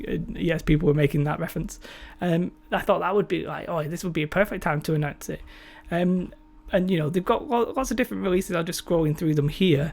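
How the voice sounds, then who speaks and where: In a British accent, the words come out at a fairly quick pace. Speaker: tabletop gaming YouTuber. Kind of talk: casual commentary video. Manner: halting, may stutter or slur.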